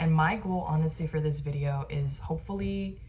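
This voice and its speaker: With an American accent, the speaker has a somewhat breathy, dark, mellow tone and fairly even intonation. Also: woman. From Arizona. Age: 20s. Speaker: lifestyle vlogger. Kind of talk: casual chat. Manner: casual, filler-heavy (like, um).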